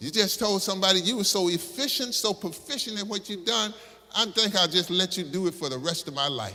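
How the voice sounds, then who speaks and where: Over noticeable background noise, a man with an American accent projects a raised, high voice at a fairly quick pace, with an animated tone and lively intonation. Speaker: Baptist pastor. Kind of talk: sermon, preaching to congregation. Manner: animated, conversational, humorous.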